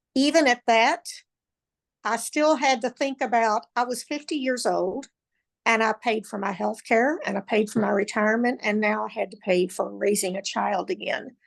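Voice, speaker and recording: A woman with a fairly high pitch speaks at a moderate pace with ordinary pitch variation and vocal fry. The background is quiet. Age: 60s. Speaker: parent raising a grandchild. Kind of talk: personal testimony.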